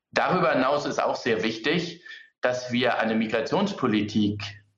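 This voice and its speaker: Audible room echo colors the recording. A man speaks at a moderate pace. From Hamburg, Germany. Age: 30s. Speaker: politician. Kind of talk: political debate.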